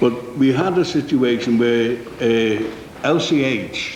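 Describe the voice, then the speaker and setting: Someone with a Liverpool accent is heard with audible room echo and noticeable background noise. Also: man. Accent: Scouse (Liverpool). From Liverpool, England. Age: 60s. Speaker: company manager giving evidence. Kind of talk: committee testimony. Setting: parliamentary committee room. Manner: halting.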